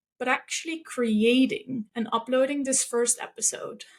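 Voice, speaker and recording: A woman with a non-native accent speaks at a high pitch. Her pace is fairly slow. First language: not English. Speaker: podcast host. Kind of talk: podcast monologue.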